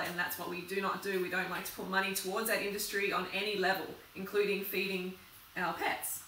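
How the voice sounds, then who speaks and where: Light background noise and audible room echo are present. A woman speaks at a fairly quick pace. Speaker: vlogger. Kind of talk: casual vlog chat. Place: kitchen. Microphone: camera far.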